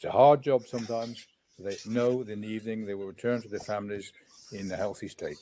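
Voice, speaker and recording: A man with an English accent talks at a very fast pace. His pitch is medium and his loudness swings widely. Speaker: safety certification official. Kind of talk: panel discussion.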